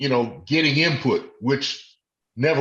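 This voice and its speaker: A man talks at a moderate pace with ordinary pitch variation in a normal speaking voice. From Washington DC. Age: 60s. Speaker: retired law enforcement officer. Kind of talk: interview.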